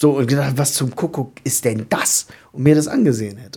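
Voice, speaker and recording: A man with a fairly high pitch and dark, mellow tone speaks with ordinary pitch variation. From southern Lower Saxony, Germany. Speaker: podcast co-host. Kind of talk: casual chat.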